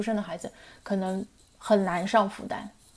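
Using a normal speaking voice, a woman talks at medium pitch and a moderate pace. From Shanghai, China. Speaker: writer. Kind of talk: casual interview chat. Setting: remote call.

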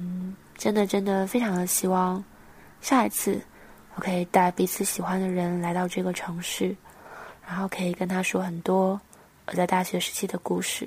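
A somewhat breathy voice speaks at a moderate pace with long, frequent pauses. The intonation stays monotone and flat. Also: woman, medium pitch for a woman. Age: 20s. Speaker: podcast host. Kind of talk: personal reflective monologue. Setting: guesthouse room.

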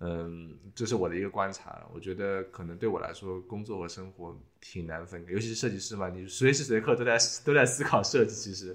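A man talks at a fairly quick pace in a plain, everyday voice. His pitch is fairly low with ordinary variation, and his loudness swings widely. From China. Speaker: podcast host, industrial designer. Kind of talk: casual chat.

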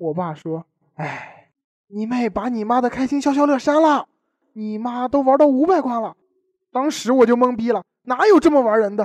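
Speaking at a moderate pace, a man with an extremely high pitch uses lively intonation and big swings in loudness. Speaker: student radio host. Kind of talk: scripted comedic banter. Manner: animated.

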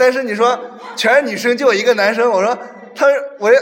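Someone talks very fast over noticeable background noise. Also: man. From Henan. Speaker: podcast guest. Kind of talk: casual chat.

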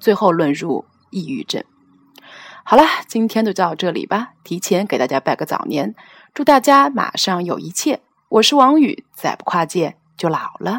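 Very wide pitch swings and big swings in loudness are broken up by long, frequent pauses, recorded with a dry, close sound and no echo. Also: woman, medium pitch for a woman, moderate pace. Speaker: podcast host. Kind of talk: personal commentary monologue.

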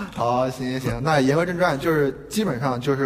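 Over noticeable background noise and audible room echo, a man speaks at a fairly quick pace with ordinary pitch variation. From Qingdao, northern China. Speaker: podcast co-host, design graduate student. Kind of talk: casual chat. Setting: university classroom.

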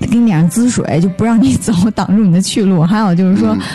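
Noticeable background noise accompanies a woman's medium-pitched voice, which has ordinary pitch variation. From northern China. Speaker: podcast guest, traveller. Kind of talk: casual chat.

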